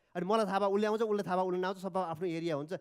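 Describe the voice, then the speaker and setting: A man with a Nepali accent speaks with ordinary pitch variation. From Nepal, Dhading. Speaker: entrepreneur. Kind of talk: speech. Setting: stage with audience. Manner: halting.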